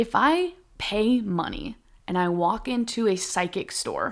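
A woman speaks in an animated tone. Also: very clean recording, silent background. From Minnesota. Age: 30s. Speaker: stand-up comedian. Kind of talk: casual chat.

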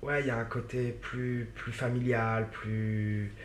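Audible echo from the room can be heard. The delivery is flat, with monotone intonation. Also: man. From Paris suburbs, France. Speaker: actor. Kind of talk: interview. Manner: halting, many fillers and repetitions.

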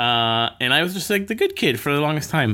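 Man with an American accent over noticeable background noise. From Miami, Florida. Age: 40s. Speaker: filmmaker and cinema founder. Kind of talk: interview.

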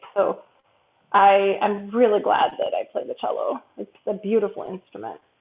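A woman with an American accent speaks at a moderate pace, her loudness swinging widely. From US Midwest, Chicago. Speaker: cellist and music professor. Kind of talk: interview.

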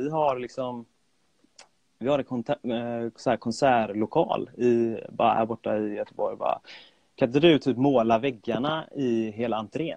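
In an ordinary speaking voice with ordinary pitch variation, the speaker goes at a moderate pace, and the sound is dry and close with no echo. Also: man. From Sweden, Gothenburg. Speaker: freelance graphic designer and illustrator. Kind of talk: casual chat. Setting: remote call. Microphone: remote audio, sometimes poor.

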